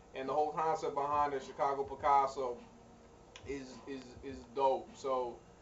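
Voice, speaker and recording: Over noticeable background noise, a man speaks at a moderate pace and a fairly high pitch. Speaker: music artist video blogger. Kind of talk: video blog. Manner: halting, repeats words.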